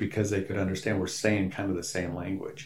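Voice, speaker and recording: A man speaks in an American accent. Audible room echo is present. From rural Wisconsin, US Midwest. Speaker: pastor and church planter. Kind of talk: interview.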